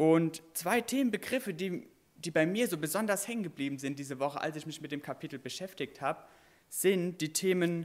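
Lively intonation runs through this man's fairly high-pitched speech at a moderate pace. He has an unremarkable speaking voice. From Westerwald, Germany. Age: 20s. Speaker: preacher, children's camp worker. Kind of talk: sermon.

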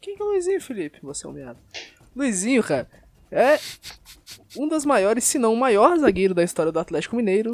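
Speaking in a Brazilian accent at a fairly quick pace, a man with an extremely high voice swings his pitch very widely and leaves long, frequent pauses. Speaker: podcast host. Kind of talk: casual chat.

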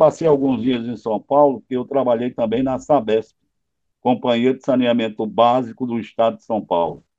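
A normal speaking voice with big swings in loudness. Pitch moves up and down in the usual way. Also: man, medium pitch for a man, moderate pace. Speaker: radio broadcaster. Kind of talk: interview.

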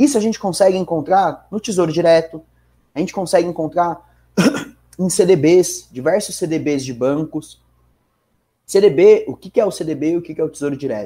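With a São Paulo accent, a man speaks at a high pitch in a dark, mellow tone, keeping a moderate pace, ordinary pitch variation and long, frequent pauses. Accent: São Bernardo accent, noticeable R. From São Bernardo do Campo, Greater São Paulo, Brazil. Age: 20s. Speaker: financial market professional. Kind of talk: casual podcast interview.

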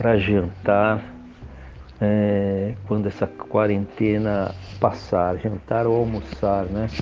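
At a very slow pace, with long and frequent pauses, a man talks at a fairly low pitch. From Brazil, São Paulo city. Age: 60s. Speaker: security consultant, retired army officer. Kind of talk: podcast interview. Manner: halting, many filler hesitations.

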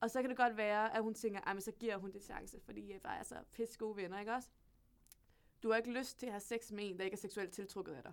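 A woman talks at a very fast pace and a medium pitch. Her intonation stays fairly even while her loudness swings widely. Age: 20s. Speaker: university student. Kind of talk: casual chat. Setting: studio.

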